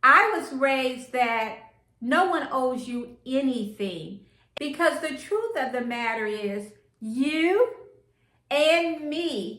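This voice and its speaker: A woman speaks very slowly at a high pitch, her tone bright and sharp. Her intonation is lively, and room echo is audible. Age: 60s. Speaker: lifestyle vlogger. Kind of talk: casual vlog talk to camera.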